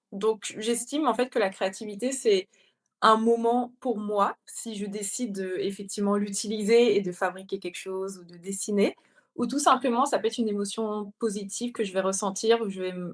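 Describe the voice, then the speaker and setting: A woman speaks in an unremarkable speaking voice at a moderate pace, her pitch fairly high and her intonation fairly even. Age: 30s. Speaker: illustrator and content creator. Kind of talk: interview.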